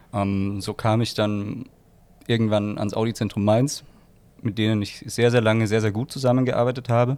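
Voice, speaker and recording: The delivery is monotone and flat at a moderate pace. The recording is very clean with a silent background. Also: man, medium pitch for a man. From Austria, Graz. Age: 20s. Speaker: photographer and wine spritzer entrepreneur. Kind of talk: casual chat.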